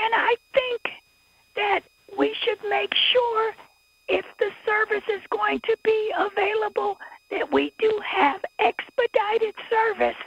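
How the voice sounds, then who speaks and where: Long, frequent pauses break up a woman's speech at a very slow pace. The sound is dry, with no echo. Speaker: public commenter at city council. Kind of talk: public comment. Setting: city council meeting. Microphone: video call.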